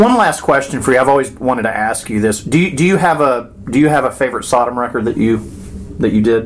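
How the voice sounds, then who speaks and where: With noticeable background noise behind him, a man rushes along at a very fast pace, his pitch varying in an ordinary way. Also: medium pitch for a man. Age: 40s. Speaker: podcast host. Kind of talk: interview. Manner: enthusiastic.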